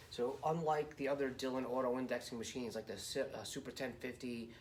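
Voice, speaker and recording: Amid audible room echo, a man talks at medium pitch and a fairly quick pace with fairly even intonation. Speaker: reloading hobbyist, high power competitor. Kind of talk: tutorial. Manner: halting, stuttering; casual, rambling with fillers.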